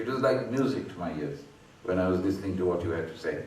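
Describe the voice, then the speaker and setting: A man speaks with a Bengali accent. Noticeable background noise and audible room echo are present. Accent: Bengali Indian English. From India, Bengal. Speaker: professor. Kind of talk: speech at a book launch. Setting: event hall with audience. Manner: conversational, anecdotal.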